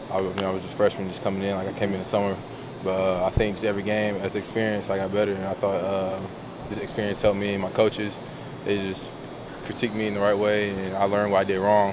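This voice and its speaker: A man talks very fast, his sound dry with no echo, while noticeable background noise continues. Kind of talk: interview answer. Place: hall. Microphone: phone near.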